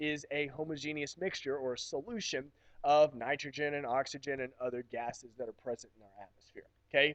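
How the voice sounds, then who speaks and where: At a moderate pace, a man with a fairly high pitch and ordinary pitch variation speaks in a normal speaking voice, with dry, close sound and no echo. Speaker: chemistry teacher. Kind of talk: recorded lecture. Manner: casual, many fillers.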